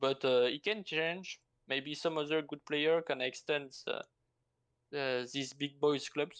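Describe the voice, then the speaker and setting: Very slow speech in a French accent. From France. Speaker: strategy game player. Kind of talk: interview answer. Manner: hesitant, halting non-native English.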